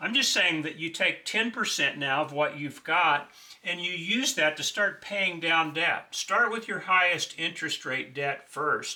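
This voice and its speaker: At a fairly slow pace with hardly any pauses, a man with a high pitch speaks with ordinary pitch variation over noticeable background noise. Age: 60s. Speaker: financial advice video host. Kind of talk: monologue tutorial on budgeting. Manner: conversational, with filler uh.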